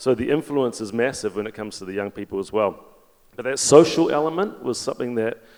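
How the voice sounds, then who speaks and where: With a New Zealand accent, a man talks at a fairly quick pace. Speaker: fintech executive, panelist. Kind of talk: panel discussion. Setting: stage with audience.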